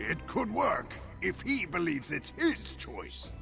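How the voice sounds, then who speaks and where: A man in a put-on character voice at a fairly slow pace, over loud music in the background. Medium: machinima.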